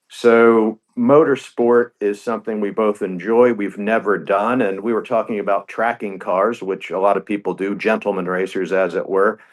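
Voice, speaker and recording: A man uses a plain, everyday voice, fairly low in pitch, with fairly even intonation, a moderate pace and hardly any pauses. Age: 60s. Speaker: business executive turned racing team owner. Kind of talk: radio interview.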